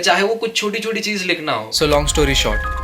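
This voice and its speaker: A man speaks with noticeable background noise. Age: 20s. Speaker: vlogger and creative strategist. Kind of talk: vlog narration. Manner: casual, conversational.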